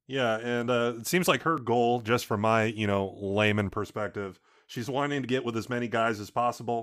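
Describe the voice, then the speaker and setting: A man with a plain, everyday voice speaks at a medium pitch and moderate pace with hardly any pauses, in a very clean recording with a silent background. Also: fairly even intonation. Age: 20s. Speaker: podcast co-host. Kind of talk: casual chat.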